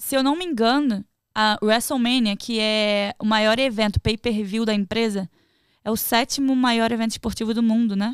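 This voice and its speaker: An ordinary speaking voice comes at a moderate pace with fairly even intonation, over a quiet background and with a dry sound with no echo. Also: woman. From Rio de Janeiro state, Brazil. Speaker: professional wrestler; podcast guest. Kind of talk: casual chat. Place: studio. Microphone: studio mic.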